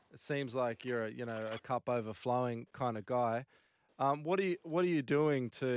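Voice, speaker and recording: At a moderate pace, a man with an Australian accent talks at medium pitch in a very clean recording with a silent background and a dry, close sound with no echo. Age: 40s. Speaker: radio co-host. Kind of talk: casual interview.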